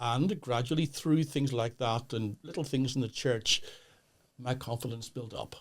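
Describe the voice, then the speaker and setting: With a Northern Irish accent, a man talks at a medium pitch. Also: ordinary pitch variation, moderate pace. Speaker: pastor. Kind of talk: podcast interview. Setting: studio. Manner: halting.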